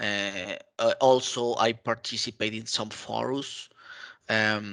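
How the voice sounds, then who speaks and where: A man with a Spanish accent, very slow, with a bright, sharp tone, medium pitch, fairly even intonation and a quiet background. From Mexico. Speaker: IT consultant and community contributor. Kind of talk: interview. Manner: halting, many fillers.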